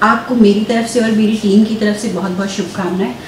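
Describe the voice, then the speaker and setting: Light background noise sits under the voice, and room echo is audible. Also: woman. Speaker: TV reporter. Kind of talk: TV interview host. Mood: warm, friendly well-wishing. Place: studio.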